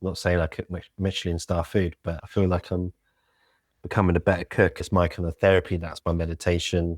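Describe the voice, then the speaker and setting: A man with a British accent speaks at a fairly quick pace and a very deep, low pitch, in monotone, flat intonation. The sound is dry and close with no echo, in a very clean recording with a silent background. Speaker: local government communications lead. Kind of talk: podcast interview.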